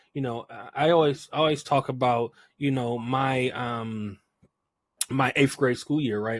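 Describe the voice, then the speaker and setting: An ordinary speaking voice from a man, medium in pitch, with ordinary pitch variation at a moderate pace. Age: 30s. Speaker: podcast host. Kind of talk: interview podcast.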